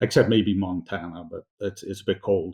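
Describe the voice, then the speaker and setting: A man's dark, mellow tone at a moderate pace over a quiet background. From northwest England, Bolton near Manchester. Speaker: entrepreneur. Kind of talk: podcast interview. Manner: casual, many fillers.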